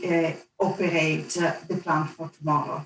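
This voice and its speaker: A woman with an Italian accent, fairly slow in pace, with monotone, flat intonation. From Italy, Venice. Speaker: energy industry executive. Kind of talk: panel discussion.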